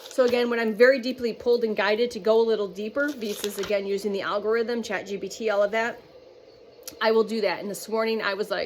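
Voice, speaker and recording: Talking at a fairly quick pace, this woman has a fairly high pitch, with noticeable background noise behind her. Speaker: spiritual channeler. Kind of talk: channeled spiritual message monologue. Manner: fast; halting, stumbling over words.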